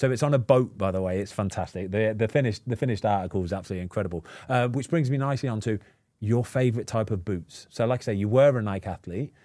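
On a very clean recording with a silent background, a man with an English accent and a fairly low pitch speaks at a very fast pace in a dark, mellow tone. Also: ordinary pitch variation. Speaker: podcast host, former footballer. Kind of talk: casual chat.

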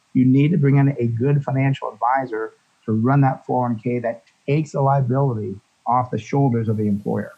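A man with a normal speaking voice talks at a fairly quick pace, medium in pitch, with fairly even intonation. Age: 60s. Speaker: financial advisor. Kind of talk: radio interview.

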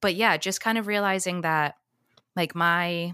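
A woman's bright, sharp voice comes through a very clean recording with a silent background. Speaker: podcast co-host, Montessori teacher. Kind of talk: casual chat.

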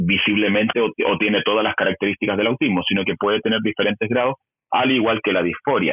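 A man speaks fairly quickly in a normal speaking voice, his pitch varying in an ordinary way. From Chile. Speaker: YouTuber and gender-ideology educator. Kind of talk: interview.

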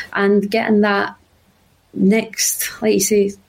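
Woman in a Glasgow accent with a fairly high pitch. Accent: Scottish (Glasgow). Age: 20s. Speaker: journalism student and football pundit. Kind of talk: casual chat.

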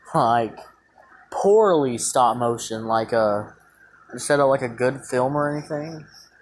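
Amid noticeable background noise, the speech moves at a fairly slow pace with long, frequent pauses. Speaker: podcast host. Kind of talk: casual chat. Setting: home studio with a fan running. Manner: casual, rambling.

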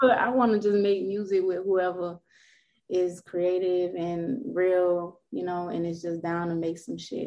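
A woman with a South Florida accent speaks at a fairly slow pace in a fairly low pitch, her slightly mellow tone showing little pitch movement. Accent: Southern Florida American.

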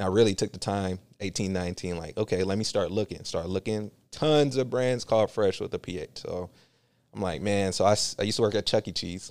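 In a normal speaking voice with an American accent, the speaker talks at a fairly quick pace with ordinary pitch variation, on a very clean recording with a silent background and a dry, close sound with no echo. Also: man, fairly low pitch for a man. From San Francisco Bay Area, California. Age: 30s. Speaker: clothing brand founder. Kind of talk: casual chat.

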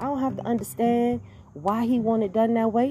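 Very fast speech with music in the background. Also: woman. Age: 40s. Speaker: podcast host. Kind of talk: casual monologue. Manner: animated.

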